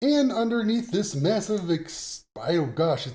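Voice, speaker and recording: This man's voice sits high and moves with lively intonation. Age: 50s. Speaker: tech YouTuber. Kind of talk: casual talk to camera, hardware tutorial.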